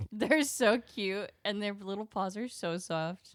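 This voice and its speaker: A woman's medium-pitched voice with lively intonation at a fairly slow pace. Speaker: podcast co-host. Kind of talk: casual chat. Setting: home studio recording with cat on desk. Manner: occasionally swaps syllables and trips over words.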